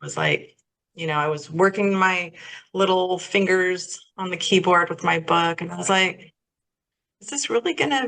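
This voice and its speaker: A woman speaks at a moderate pace in a medium pitch. Her tone is bright and sharp. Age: 60s. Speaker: holistic life coach, minister. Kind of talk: interview conversation.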